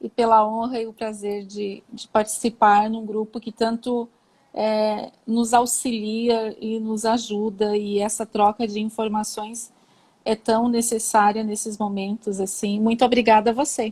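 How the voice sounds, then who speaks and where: Speaking at a fairly slow pace, a woman with a fairly high pitch sounds somewhat breathy and monotone, with flat intonation. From southern Brazil, Santa Catarina (São Joaquim). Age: 40s. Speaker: cancer patient, interior designer. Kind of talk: live interview. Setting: online live stream.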